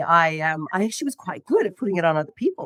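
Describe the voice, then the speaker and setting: At a very fast pace, a woman speaks in a fairly low pitch, the sound dry and close with no echo. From Ireland, Dublin. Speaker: network marketing executive. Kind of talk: interview storytelling.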